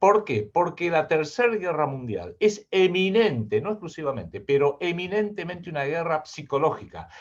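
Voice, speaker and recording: Lively intonation carries speech at a moderate pace with hardly any pauses. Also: man, high pitch for a man. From Argentina. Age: 60s. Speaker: geopolitical analyst and writer. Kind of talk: interview.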